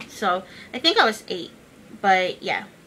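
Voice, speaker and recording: A woman speaks over noticeable background noise. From United States, moved from the Philippines at 8. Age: 20s. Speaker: YouTube vlogger. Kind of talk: casual vlog. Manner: casual, many filler words.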